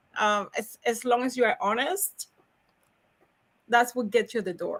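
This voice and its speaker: In a Cuban accent, a woman speaks at a fairly slow pace, her high pitch moving with lively intonation. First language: Spanish. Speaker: logistics professional. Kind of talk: podcast interview. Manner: animated, high energy; halting, repetitive.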